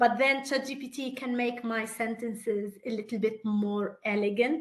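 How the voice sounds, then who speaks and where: With a non-native accent, a woman talks at a high pitch with ordinary pitch variation. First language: not English. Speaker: entrepreneur and product builder. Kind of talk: panel discussion on a webinar.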